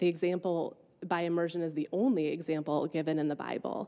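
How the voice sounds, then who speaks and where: At a moderate pace, a woman with a dark, mellow tone talks with fairly even intonation. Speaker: church member giving testimony. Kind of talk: testimony. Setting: church service. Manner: reading from notes.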